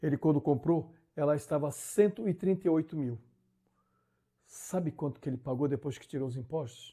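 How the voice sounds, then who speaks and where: On a very clean recording with a silent background, a man with a fairly high pitch and a dark, mellow tone speaks somewhat breathily at a moderate pace with ordinary pitch variation. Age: 60s. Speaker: YouTuber, driver commentator. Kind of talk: casual vlog monologue. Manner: animated; halting.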